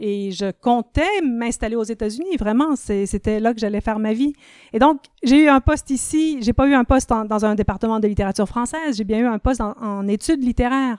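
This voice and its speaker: This woman's speech moves at a fairly quick pace, with ordinary pitch variation. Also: dry, close sound with no echo. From Ontario, Canada (francophone, Quebecois parents). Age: 50s. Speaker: literature professor and writer. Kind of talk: podcast interview.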